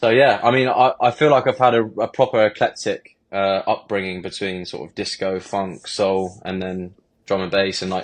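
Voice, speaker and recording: At a moderate pace, a man in a southern English accent speaks with ordinary pitch variation and big swings in loudness. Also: fairly low pitch for a man, quiet background. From southern England (Bournemouth). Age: 20s. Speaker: DJ and music producer. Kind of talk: podcast interview.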